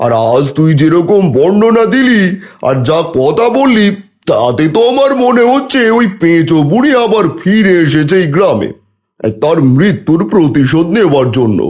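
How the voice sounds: At a moderate pace, a man puts on a cartoonish character voice with high pitch, very wide pitch swings and very even loudness.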